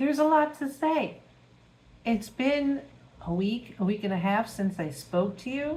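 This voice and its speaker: Lively intonation in a woman's somewhat breathy voice. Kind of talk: casual talk to camera. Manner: chatty, humorous.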